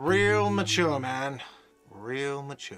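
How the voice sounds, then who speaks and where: A man puts on a whiny character voice. It sits at a medium pitch with ordinary pitch variation. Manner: shouting, sarcastic.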